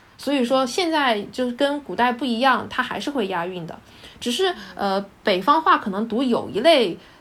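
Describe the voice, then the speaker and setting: Her pitch is high and swings very widely. The woman talks at a moderate pace. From Hunan, China. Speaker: dialectology graduate. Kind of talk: casual chat.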